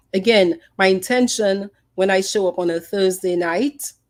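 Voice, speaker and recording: The speaker has a slight Dominican accent. Pitch varies in an ordinary way. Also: woman. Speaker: psychologist and podcast host. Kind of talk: podcast talk, presentation rehearsal.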